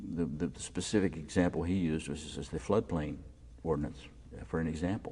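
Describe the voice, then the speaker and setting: The pace is very fast, with vocal fry. The voice has an American accent. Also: man, very deep, low pitch for a man, ordinary pitch variation. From Maryland, US. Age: 60s. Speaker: local politician and former journalist. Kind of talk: oral history interview. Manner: halting with frequent fillers.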